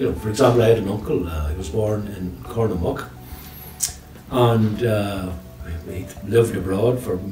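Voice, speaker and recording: A man with a Northern Irish accent speaks at a fairly low pitch with ordinary pitch variation. Music plays in the background amid audible room echo. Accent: Tyrone Northern Irish. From Northern Ireland, County Tyrone. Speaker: retired teacher and storyteller. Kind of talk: interview chat. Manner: fast.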